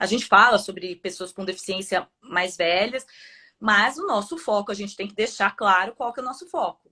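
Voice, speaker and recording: This is an unremarkable speaking voice from a woman. Her pitch is medium, with ordinary variation. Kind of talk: casual chat.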